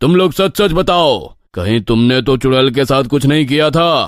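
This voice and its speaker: The speaker uses a cartoonish character voice with lively intonation. The pace is moderate and the loudness very even. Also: man, fairly high pitch for a man. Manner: authoritative.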